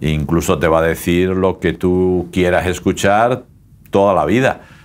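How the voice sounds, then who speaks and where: A man speaks at a fairly slow pace. His pitch is very deep and low. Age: old. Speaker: pastor. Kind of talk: casual chat. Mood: calm, warm, reflective. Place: studio.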